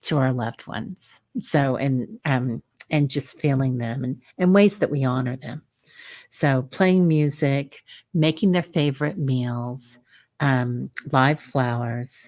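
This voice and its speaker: A woman with a Missouri accent talks at a very slow pace in a very deep, low voice with ordinary pitch variation, in a very clean recording with a silent background. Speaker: psychic medium. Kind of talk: casual livestream talk. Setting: livestream simulcast. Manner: hesitant, many filler sounds.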